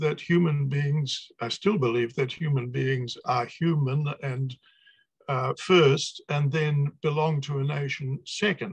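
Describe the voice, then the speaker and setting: A man's fairly high, somewhat breathy voice with a New Zealand accent, fairly even intonation and a very slow pace. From New Zealand, Napier. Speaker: poet and academic. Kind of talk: video call interview.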